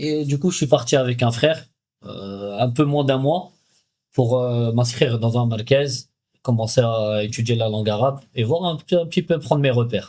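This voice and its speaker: A man's dark, mellow voice at a moderate pace, with ordinary pitch variation. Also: medium pitch for a man. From France, Paris. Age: 30s. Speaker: emigrant interviewee. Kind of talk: podcast interview. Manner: hesitant.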